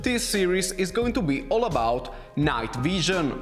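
A man's speech unfolds at a fairly slow pace. Behind him, music is faintly audible. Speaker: gear channel host. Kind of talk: tutorial intro and explanation. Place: home room.

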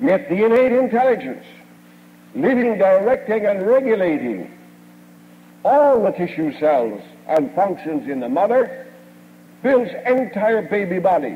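A high-pitched male voice swings very widely in pitch. He speaks at a fairly slow pace with long, frequent pauses. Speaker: chiropractic lecturer and radio station owner. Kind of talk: 1950s platform lecture, recorded speech to a live audience. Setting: stage with audience. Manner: formal, old-fashioned oratory, folksy and boastful, with jokes and anecdotes. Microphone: old recording.

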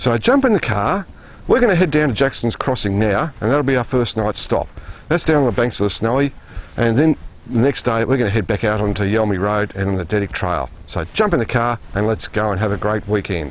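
A man at a fairly quick pace with ordinary pitch variation, in a dry sound with no echo. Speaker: TV presenter. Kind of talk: piece to camera. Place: open country.

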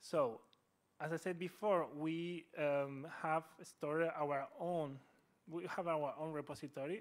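This man speaks at a fairly slow pace and a fairly high pitch. His intonation is fairly even. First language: Spanish. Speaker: speaker. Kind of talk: lecture. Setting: university hall with audience. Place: hall.

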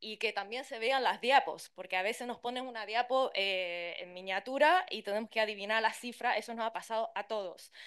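Against a quiet background, a woman with a fairly high voice talks at a fairly quick pace with ordinary pitch variation and hardly any pauses. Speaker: interpreter and translator; conference panelist. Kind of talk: conference talk. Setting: conference with interpreters' booth. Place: hall. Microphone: podium.

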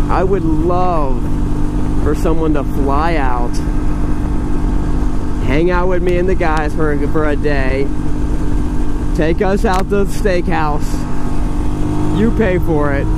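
A man's speech broken by long, frequent pauses, over loud background noise, with a dry sound and no echo. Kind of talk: casual ride commentary. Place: motorbike.

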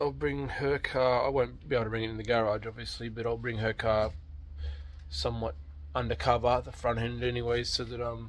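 The man talks at a fairly quick pace. His medium pitch shows little movement.

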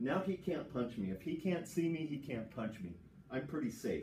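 Lively intonation with vocal fry at a fairly slow pace, plus audible room echo and light background noise. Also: man. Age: 60s. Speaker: jiu-jitsu instructor. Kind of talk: tutorial. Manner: casual. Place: gym. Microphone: camera far.

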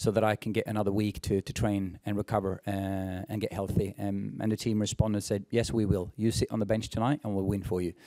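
Against a quiet background, a man speaks at a fairly quick pace. His tone is dark and mellow, with fairly even intonation. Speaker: team head coach. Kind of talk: press conference answer. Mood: pleased after big win. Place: hall. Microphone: podium.

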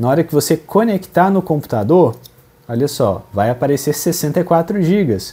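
Speaking at a fairly slow pace, a man with a fairly high pitch uses lively intonation in a somewhat breathy, dark, mellow tone. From Brazil. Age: 20s. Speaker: gaming youtuber. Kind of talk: Q&A video, casual talk to camera. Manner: casual, conversational. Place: home room. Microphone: lapel.

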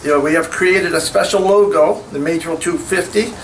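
There is light background noise as a man talks at a fairly quick pace. His pitch is high. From New Brunswick, Canada. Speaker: community committee representative; speaker. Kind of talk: public speech. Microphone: podium.

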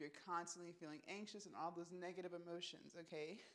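The woman's voice sits at a medium pitch. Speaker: fitness vlogger. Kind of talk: motivational pep talk, casual vlog monologue. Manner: upbeat, animated, chatty; direct, emphatic, peppered with "right?" and "okay?". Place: home room. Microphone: lapel.

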